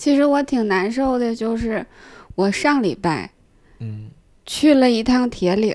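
The speech comes very slowly with long, frequent pauses and ordinary pitch variation, in a Northeastern Chinese accent. The recording is very clean, the background silent. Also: woman, fairly high pitch for a woman. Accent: Northeastern Mandarin. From Northeast China, Jinzhou. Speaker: stand-up comedian. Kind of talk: casual chat.

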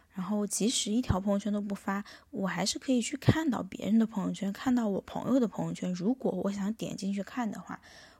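A woman's somewhat breathy voice, dark and mellow in tone, medium in pitch, at a fairly quick pace with hardly any pauses and ordinary pitch variation. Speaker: podcast host. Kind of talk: solo monologue. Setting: hotel room.

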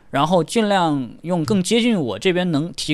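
Using a plain, everyday voice, a man talks with lively intonation and a fairly high pitch. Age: young. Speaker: audio show visitor and hi-fi enthusiast. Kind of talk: casual chat.

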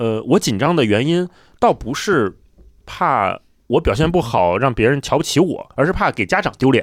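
A man speaks with a fairly high pitch, vocal fry and very wide pitch swings. The recording is very clean, with a silent background. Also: moderate pace. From Beijing. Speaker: podcast host. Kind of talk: casual chat.

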